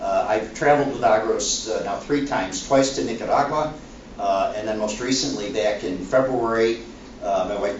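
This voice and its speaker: Male speech, moderately paced, amid noticeable background noise and audible room echo. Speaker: former university president. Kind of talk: panel talk. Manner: halting.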